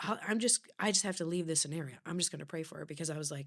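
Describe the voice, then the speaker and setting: Pitched fairly low, a woman talks at a very fast pace. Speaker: author and speaker. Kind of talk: casual chat.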